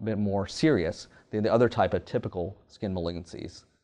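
A man with an American accent speaks at a fairly low pitch with ordinary pitch variation. The background is quiet. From US South, Louisiana (Kaplan); Louisiana. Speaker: surgical oncologist. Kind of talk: professional profile interview. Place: office. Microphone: lapel.

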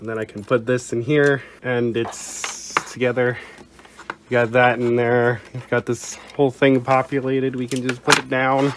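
Against noticeable background noise, a man speaks in a monotone, flat intonation. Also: medium pitch for a man, moderate pace. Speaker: tech YouTuber. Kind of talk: casual tech tutorial talk to camera.

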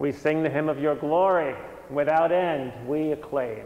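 Intonation stays fairly even as a man talks. The room adds an audible echo. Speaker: priest. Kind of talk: liturgical prayer. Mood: solemn, calm. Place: church. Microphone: lapel.

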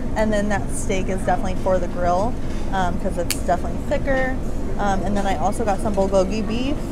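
Over music in the background, a woman speaks at a very fast pace. Her pitch variation is ordinary. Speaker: food vlogger. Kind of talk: casual vlog chat. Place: cafe. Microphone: camera far.

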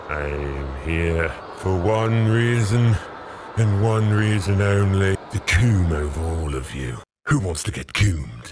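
A man uses a put-on character voice with a very deep, low pitch. He speaks at a fairly slow pace with lively intonation. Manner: cool, swaggering.

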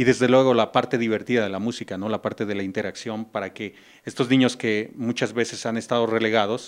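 Fairly even intonation marks a man speaking at a moderate pace and medium pitch. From Mexico. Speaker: music teacher. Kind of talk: interview. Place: classroom. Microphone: handheld.

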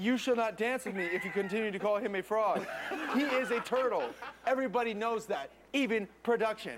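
A man puts on a robotic character voice with a high pitch at a fairly quick pace, with clear background noise behind him. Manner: stilted, robotic.

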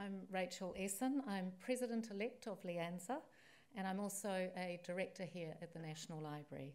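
A woman with a New Zealand accent speaks at a moderate pace and a medium pitch. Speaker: library association president-elect; guest. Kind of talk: formal welcome speech. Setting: stage with audience. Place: hall. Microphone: podium.

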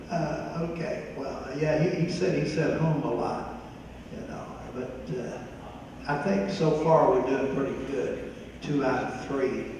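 The man's fairly high voice moves at a fairly slow pace with ordinary pitch variation, carried by strong room echo over light background noise. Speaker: church senior ministry class leader. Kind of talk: church tribute presentation. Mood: warm, light-hearted. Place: church.

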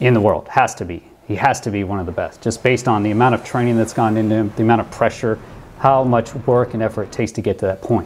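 Speaking at a very fast pace, a man delivers his words. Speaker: former pilot commentator. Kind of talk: commentary.

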